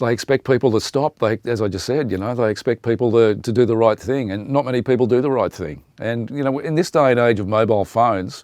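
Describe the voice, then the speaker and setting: A man with an Australian accent and a medium pitch speaks at a very fast pace with hardly any pauses and ordinary pitch variation, in a dry, close sound with no echo. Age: 60s. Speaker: radio presenter. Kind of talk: interview monologue. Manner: conversational, many fillers.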